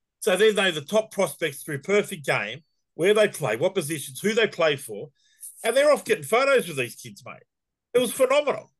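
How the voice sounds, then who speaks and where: A man with an Australian accent, high-pitched, at a fairly quick pace, with very wide pitch swings and big swings in loudness. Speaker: youth baseball organiser. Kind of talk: casual chat. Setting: video call.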